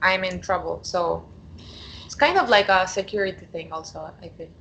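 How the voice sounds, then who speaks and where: A woman speaks with a Spanish accent at a moderate pace. Her tone is bright and sharp. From Argentina. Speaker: coaching client. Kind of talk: coaching conversation. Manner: hesitant, many fillers.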